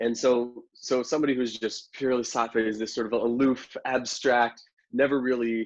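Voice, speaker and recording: Medium pitch from a male speaker. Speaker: Ayurvedic doctor and Vedic astrologer. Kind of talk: casual chat. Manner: loud.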